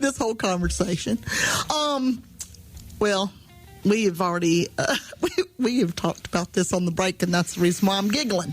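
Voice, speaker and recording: Music plays in the background while the speaker uses lively intonation at very even loudness. Long, frequent pauses break up the speech. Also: woman, medium pitch for a woman, moderate pace. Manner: giggling.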